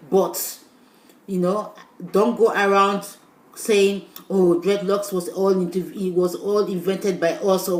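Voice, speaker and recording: Over noticeable background noise, a woman with a medium pitch talks at a moderate pace in a monotone, flat intonation. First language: Portuguese. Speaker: YouTuber. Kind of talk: vlog monologue. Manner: casual, with hesitations.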